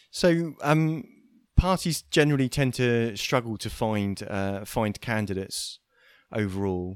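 At a fairly slow pace, a man talks with an unremarkable speaking voice in a medium pitch. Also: lively intonation. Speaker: podcast co-host. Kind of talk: casual chat.

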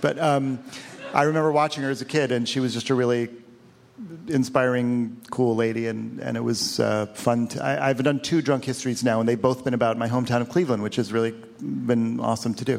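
A man with a medium pitch speaks fairly quickly and with fairly even intonation while noticeable background noise runs behind him. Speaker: film director. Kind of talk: comedic interview. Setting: stage with audience.

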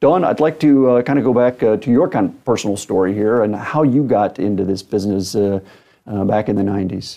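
This man has a normal speaking voice with a fairly low pitch and ordinary pitch variation. He talks at a fairly quick pace. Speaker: podcast host. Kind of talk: interview, formal host.

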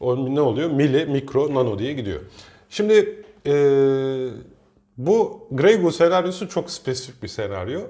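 The voice moves at a fairly slow pace with a dark, mellow tone. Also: man. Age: 30s. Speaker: teacher and podcast co-host. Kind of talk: casual chat.

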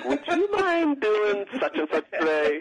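In a put-on character voice, the speaker whines at a fairly high pitch and a fairly slow pace. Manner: pleading, polite.

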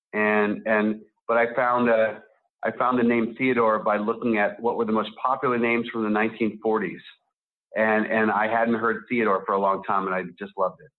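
At a moderate pace, a man with a medium pitch and fairly even intonation speaks in a normal speaking voice. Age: 40s. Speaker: writer and film director. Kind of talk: interview.

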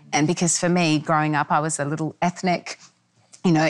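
This woman talks with an Australian accent. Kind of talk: panel conversation.

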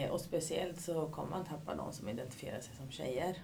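Ordinary pitch movement at a moderate speed, in a room with audible echo. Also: woman. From Sweden, Katrineholm. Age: 40s. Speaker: youth activity coordinator. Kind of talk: interview.

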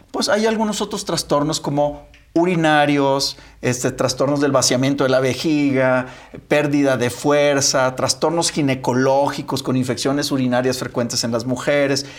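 Speaking at a moderate pace in an unremarkable speaking voice, a man has a fairly high pitch, ordinary pitch variation and very even loudness. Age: 50s. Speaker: physician co-host. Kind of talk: casual chat.

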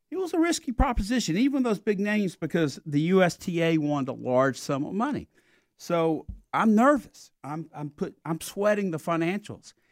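A man with a Southern US accent talks at a moderate pace with very wide pitch swings. The sound is dry and close with no echo. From South Carolina. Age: 60s. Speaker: sports event executive. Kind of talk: casual interview.

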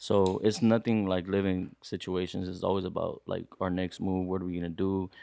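With a very deep, low pitch and a dark, mellow tone, a man speaks at a moderate pace in a monotone, flat intonation with hardly any pauses against a quiet background. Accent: American. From Los Angeles area, California. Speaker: musician. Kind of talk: casual chat.

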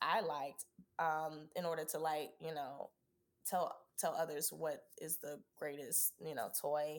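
A woman with an American accent speaks in an ordinary speaking voice, fairly slow and at a fairly low pitch. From US South, Georgia (Savannah and Atlanta). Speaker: Broadway performer. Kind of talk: casual chat.

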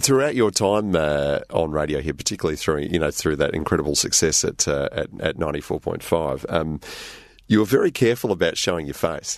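A man with an Australian accent talks at a fairly quick pace, his very deep, low voice carrying lively intonation. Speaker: radio interviewer. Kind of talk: casual interview.

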